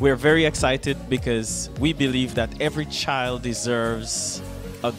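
A man at a fairly slow pace with ordinary pitch variation, clear music playing in the background. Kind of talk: launch announcement to camera. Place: classroom. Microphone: handheld.

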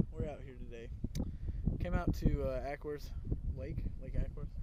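Loud background noise surrounds a man whose voice comes through dry, with no echo. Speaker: angler vlogger. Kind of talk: casual vlog chat. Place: boat. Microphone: phone near.

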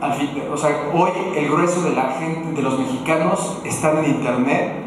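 A man with a fairly high pitch speaks at a fairly slow pace. Strong room echo and noticeable background noise surround him. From Mexico, Morelia (Michoacán). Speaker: digital agency director, conference speaker. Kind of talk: conference talk. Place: hall.

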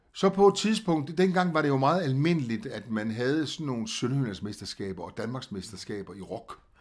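With hardly any pauses, a man speaks at a moderate pace in a medium pitch, his voice making very wide pitch swings and big swings in loudness. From Southern Jutland, Denmark (Als, Augustenborg). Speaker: singer. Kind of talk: interview. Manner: hesitant, many fillers.

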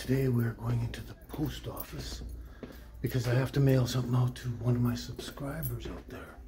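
Amid noticeable background noise, a man speaks at a moderate pace with big swings in loudness. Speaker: vlogger. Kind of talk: casual vlog chat. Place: shop. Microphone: phone near.

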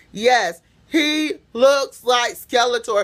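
A woman speaks very slowly in a bright, sharp tone. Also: quiet background. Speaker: vlogger. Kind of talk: casual vlog chat, opinion commentary. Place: home room. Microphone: phone near.

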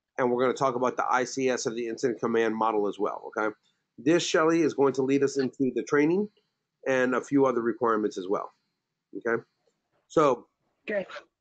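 In a quiet background, a man talks at a fairly quick pace with long, frequent pauses, a medium pitch and ordinary pitch variation. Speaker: safety trainer. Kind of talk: lecture. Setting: video call. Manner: halting.

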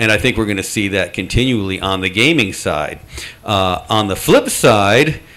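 An unremarkable speaking voice belongs to this man, fairly low in pitch. He keeps a moderate pace with ordinary pitch variation. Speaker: game developer and industry association director. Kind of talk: convention panel discussion. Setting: stage with audience. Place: meeting room.

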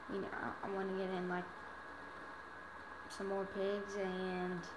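Clearly audible noise runs behind a woman's speaking voice. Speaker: gamer. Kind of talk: casual gameplay commentary. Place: home room. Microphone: phone near.

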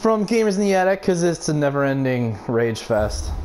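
The man talks at a fairly slow pace. Noticeable background noise runs underneath. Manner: explosive, expletive-laden outbursts at opponents; frustrated yelling broken by sudden laughter.

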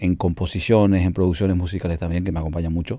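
A man speaks at a very deep, low pitch with fairly even intonation. The sound is dry with no echo, against a quiet background. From Paraguay, Cordillera (Altos). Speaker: cumbia singer and bandleader. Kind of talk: interview. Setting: home studio. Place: studio.

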